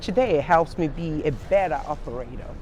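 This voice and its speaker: In a Nigerian accent, a woman speaks at a moderate pace with lively intonation, and audible room echo surrounds her voice. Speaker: senior living executive. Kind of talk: panel interview. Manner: halting.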